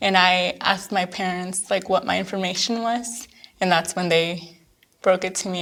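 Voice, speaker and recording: At a moderate pace, a woman with a plain, everyday voice talks in a medium pitch with fairly even intonation. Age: 20s. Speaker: DACA recipient, digital analyst. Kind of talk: documentary interview.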